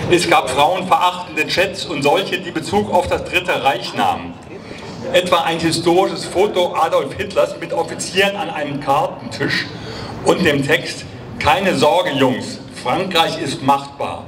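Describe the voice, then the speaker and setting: Over noticeable background noise, a high-pitched man speaks at a fairly slow pace with ordinary pitch variation. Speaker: rally speaker for an antifascist association. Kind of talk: rally speech at a demonstration, formal and prepared. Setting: outdoors, PA system at a protest. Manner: formal; earnest and steady, address to comrades. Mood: serious, critical. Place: street. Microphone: handheld.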